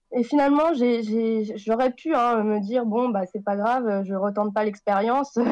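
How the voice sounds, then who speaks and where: A woman with a fairly high voice talks at a fairly slow pace, with hardly any pauses. Her pitch varies an ordinary amount. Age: 20s. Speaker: recovering alcoholic, author. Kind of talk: testimony. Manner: halting.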